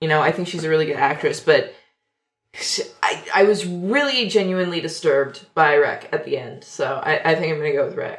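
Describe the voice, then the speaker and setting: An unremarkable speaking voice from a woman, fairly low in pitch, with lively intonation and a fairly quick pace. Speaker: co-host. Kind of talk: casual chat.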